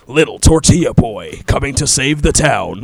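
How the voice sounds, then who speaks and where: In a put-on character voice, a man talks at a moderate pace and a fairly high pitch. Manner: dramatic, epic.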